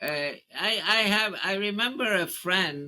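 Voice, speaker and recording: A man talks at a very slow pace in a raised, projected voice. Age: 80s+. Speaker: economist and mathematician. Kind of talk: interview answer.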